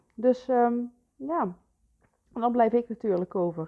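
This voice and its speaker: This woman talks at a fairly slow pace in a fairly high pitch. Her intonation is lively. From Netherlands, North Brabant. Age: 30s. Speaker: photographer and podcast host. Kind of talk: solo podcast monologue. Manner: halting, many fillers.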